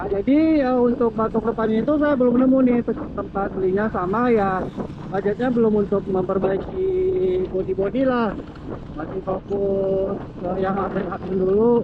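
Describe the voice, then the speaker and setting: A man talks loudly at a moderate pace, his pitch high with ordinary variation. Noticeable background noise runs underneath. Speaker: motovlogger. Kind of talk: casual vlog narration while riding. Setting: riding a motorcycle outdoors. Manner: speaking somewhat loud.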